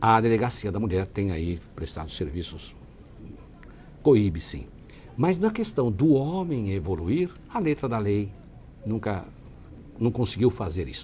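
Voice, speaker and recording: The pitch swings very widely, and the tone is dark, mellow and somewhat breathy. Delivery is fairly slow, with long, frequent pauses. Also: man, fairly low pitch for a man. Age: 60s. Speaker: city councillor and lawyer. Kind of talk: TV interview. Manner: halting.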